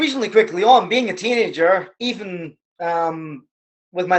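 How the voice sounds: Pitched high, a man speaks with ordinary pitch variation.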